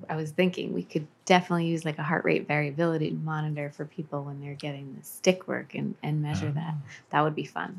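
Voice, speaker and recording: Very fast delivery with ordinary pitch variation. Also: woman, very deep, low pitch for a woman, very clean recording, silent background. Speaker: life coach and hypnotherapist. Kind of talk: interview.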